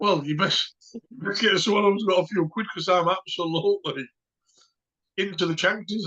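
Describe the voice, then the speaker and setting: A man's raised, projected voice carries a high pitch. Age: 50s. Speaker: dog kennel owner. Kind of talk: casual chat.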